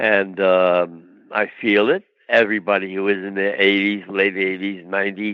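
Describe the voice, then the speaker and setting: A man's fairly low voice with a New York accent. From New York, Brooklyn. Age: 90s. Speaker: actor. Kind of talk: interview.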